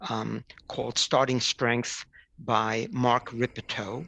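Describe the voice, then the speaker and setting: Very slow speech against a quiet background. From New York City. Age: 70s. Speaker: retired physician. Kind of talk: interview. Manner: halting.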